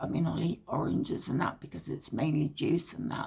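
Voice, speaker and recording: A woman speaks with a British accent and a fairly low pitch. Her pitch varies normally, and there is vocal fry. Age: 70s. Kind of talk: personal story told to camera. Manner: hesitant, reflective.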